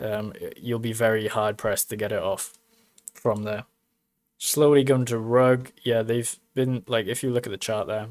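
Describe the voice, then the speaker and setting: At a moderate pace, a man of medium pitch speaks in a monotone, flat intonation. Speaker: crypto mining YouTuber. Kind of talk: casual livestream commentary. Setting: live stream.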